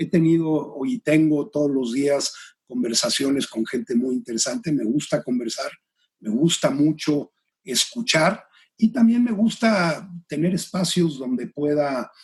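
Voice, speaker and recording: This man's voice is somewhat breathy and fairly high, with very wide pitch swings. He speaks at a fairly slow pace. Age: 60s. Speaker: executive and career coach. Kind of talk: interview conversation. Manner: hesitant, many fillers.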